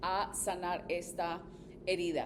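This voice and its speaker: A woman in an animated tone. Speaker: therapist and podcast host. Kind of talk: advice podcast monologue.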